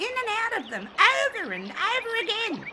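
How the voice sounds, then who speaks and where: An extremely high-pitched put-on character voice moves at a moderate pace against loud background noise. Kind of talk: audiobook narration with character voices. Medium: audio drama.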